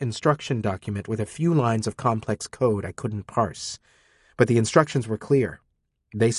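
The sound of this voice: An unforced reading voice with ordinary pitch variation is heard, and the background is quiet.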